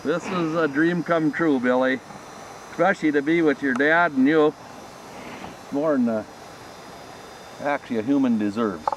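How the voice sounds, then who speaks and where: Against noticeable background noise, a man with a fairly high pitch speaks at a moderate pace with ordinary pitch variation and long, frequent pauses. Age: 60s. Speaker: hunter. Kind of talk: casual chat. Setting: outdoors.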